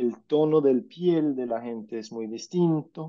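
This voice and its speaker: Dark, mellow tone from a man, with ordinary pitch variation. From Scandinavia (Norway, Denmark). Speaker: journalist and political scientist, speaker. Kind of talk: talk with slides. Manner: halting, with fillers.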